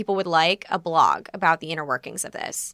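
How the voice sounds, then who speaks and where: This very clean recording has a silent background and a dry, close sound with no echo. The speaker talks at a fairly quick pace in a bright, sharp tone with an American accent. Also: woman. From New Jersey. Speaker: comedian. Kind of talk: casual chat.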